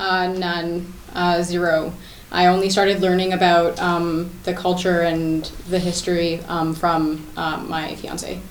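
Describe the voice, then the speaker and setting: A woman with a Canadian accent speaks with flat, monotone intonation at a fairly slow pace and a fairly low pitch, amid noticeable background noise and audible room echo. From Scarborough, Ontario, Canada. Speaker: interview guest. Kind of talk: TV interview. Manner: hesitant, many fillers.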